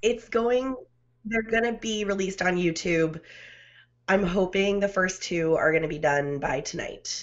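In a normal speaking voice, a woman talks at medium pitch and a fairly slow pace with ordinary pitch variation over a quiet background. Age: 30s. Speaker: podcaster. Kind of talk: casual chat. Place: home room. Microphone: studio mic.

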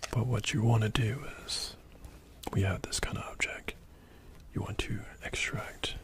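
The voice is a man's whisper. His delivery is fairly slow. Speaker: barber or product demonstrator. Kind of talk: tutorial. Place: shop. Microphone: phone near.

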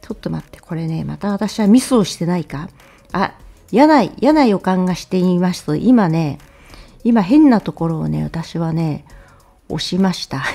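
Over music in the background, a woman with lively intonation speaks at a moderate pace in a medium pitch, with big swings in loudness. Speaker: political commentary YouTuber. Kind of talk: casual news commentary monologue. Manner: chatty, conversational with many fillers.

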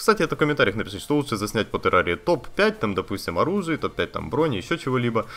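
A man with vocal fry and a fairly high pitch talks at a very fast pace, his pitch swinging very widely with hardly any pauses. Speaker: gaming YouTuber. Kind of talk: casual vlog to viewers. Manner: conversational, with fillers. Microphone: new budget condenser studio microphone.

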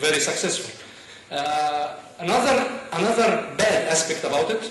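The voice belongs to a man with a high pitch. Audible room echo surrounds it. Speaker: conference speaker. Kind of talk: talk to an audience. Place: stage.

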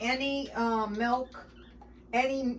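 A woman speaks at a high pitch. There is noticeable background noise. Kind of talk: tutorial. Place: kitchen. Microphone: camera far.

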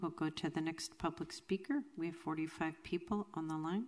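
Fairly low in pitch, this woman talks with fairly even intonation. Her delivery does not rise or fall much. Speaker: city clerk. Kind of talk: formal meeting proceedings. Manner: formal. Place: hall. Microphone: podium.

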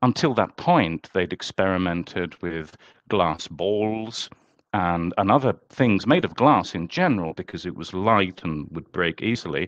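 With a southern English accent, a man speaks at a fairly slow pace in a very deep, low pitch, his pitch varying in an ordinary way, recorded dry with no echo over a quiet background. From England, London. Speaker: author and UFO historian; podcast guest. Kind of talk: interview. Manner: halting, many repeated words. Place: home room. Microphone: headset.

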